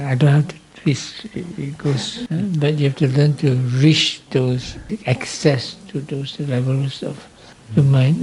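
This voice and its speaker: With noticeable background noise behind him, a man talks at a fairly slow pace in a fairly high pitch with ordinary pitch variation. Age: 60s. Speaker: Buddhist monk and meditation teacher. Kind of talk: dharma talk. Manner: halting.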